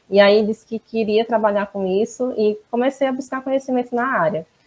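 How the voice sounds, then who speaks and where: Talking at a fairly quick pace, a woman with a northeastern Brazilian accent has a fairly high pitch and ordinary pitch variation in a dry, close sound with no echo. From Northeast Brazil, Maceió, Alagoas. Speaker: quality management consultant and auditor. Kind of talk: interview.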